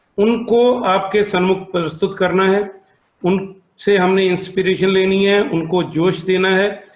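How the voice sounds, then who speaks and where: This man has a Punjabi accent and a high pitch. His intonation is monotone and flat, and his loudness is very even. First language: Punjabi (speaking Hindi). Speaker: optometrist and association president. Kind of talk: formal welcome speech.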